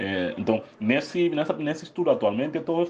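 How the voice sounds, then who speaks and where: The man's dark, mellow tone comes through at a fairly quick pace. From Guinea-Bissau. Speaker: psychologist and researcher. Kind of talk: recorded interview answer. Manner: halting, repetitive.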